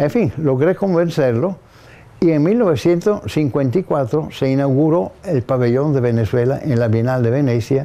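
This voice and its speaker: A man with an Italian accent speaks at a moderate pace with lively intonation. His voice has a dark, mellow tone and a fairly high pitch. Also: very even loudness, quiet background. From northern Italy (Gorizia). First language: Italian (speaking Spanish). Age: 80s+. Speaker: architect. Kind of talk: interview testimony. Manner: halting.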